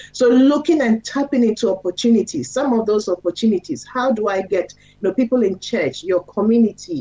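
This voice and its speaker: This woman's voice swings very widely in pitch. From Ghana. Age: 50s. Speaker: radio host and pediatrician. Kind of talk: radio talk show advice.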